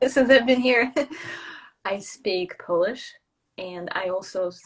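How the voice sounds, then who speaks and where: In a Russian accent, a woman speaks at a fairly slow pace with very wide pitch swings. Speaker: traveller and brand builder. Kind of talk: casual interview chat.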